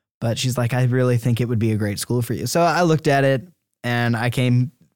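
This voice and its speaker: Dry and close with no echo, a man at a medium pitch with an American accent and an ordinary speaking voice keeps his intonation fairly even. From US South, Georgia, later Iowa from age 13. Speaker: university student. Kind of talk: interview testimony. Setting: studio.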